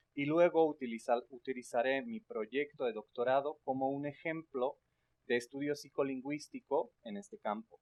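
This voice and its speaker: Fairly high in pitch, a man speaks with lively intonation. He moves at a moderate pace. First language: not Spanish or English (speaking Spanish). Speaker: linguistics researcher. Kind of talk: academic lecture. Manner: hesitant with filler sounds.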